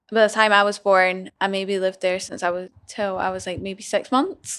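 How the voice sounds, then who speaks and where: The voice moves at a moderate pace in a flat monotone. The recording is very clean, with a silent background. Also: woman. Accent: slight Scottish. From Scotland. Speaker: business owner. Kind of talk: casual chat.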